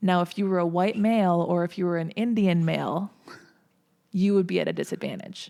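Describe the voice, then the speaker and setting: A woman with an American accent talks at a fairly quick pace. Her tone is dark and mellow, and her intonation is monotone and flat. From Minnesota, US. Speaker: entertainment media personality. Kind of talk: casual podcast interview.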